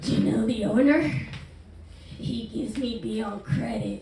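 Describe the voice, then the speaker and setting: A woman performs a put-on character voice at a moderate pace. Clear background noise and a slight echo accompany her. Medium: stage play. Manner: leering, clumsy.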